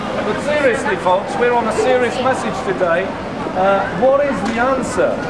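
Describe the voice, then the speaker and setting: Male speech at a moderate pace, loud background noise behind it. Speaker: street preacher. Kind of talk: street preaching. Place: street. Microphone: camera far.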